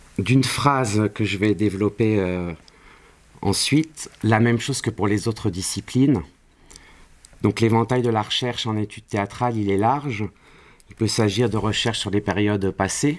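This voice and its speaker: The delivery comes at a fairly slow pace with long, frequent pauses. Pitch variation is ordinary. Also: man, fairly low pitch for a man. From Paris, France. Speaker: university lecturer in theatre studies. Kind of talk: interview. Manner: hesitant, many fillers. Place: classroom.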